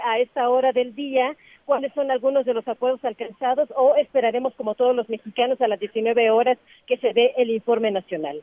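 With fairly even intonation, the delivery keeps to a moderate speed. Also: woman. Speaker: reporter. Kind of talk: live report.

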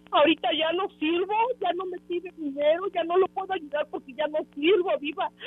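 At an extremely high pitch, a woman speaks at a moderate pace with fairly even intonation. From Mexico, Tehuacán (Puebla). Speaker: caller. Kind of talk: radio call-in.

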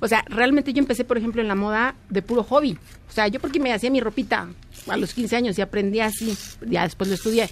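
The speaker talks very fast. Pitch varies an ordinary amount. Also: woman, fairly high pitch for a woman. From Mexico. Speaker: fashion designer. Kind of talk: interview.

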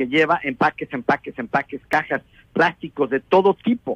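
A man with a normal speaking voice, pitched fairly high, talks at a fairly slow pace with lively intonation. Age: 60s. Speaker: environmental engineer. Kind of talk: radio interview.

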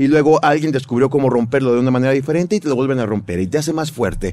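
Fairly high pitch from a man, the intonation lively. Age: 40s. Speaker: radio host and motivational speaker. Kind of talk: casual interview.

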